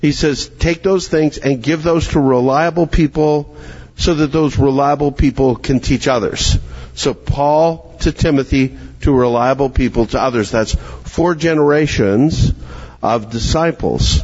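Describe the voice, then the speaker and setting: A man with a fairly high pitch talks at a fairly slow pace, his loudness very even and his pitch variation ordinary, over noticeable background noise. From Canada, Calgary, Alberta. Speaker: pastor and teacher. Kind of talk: conference workshop talk.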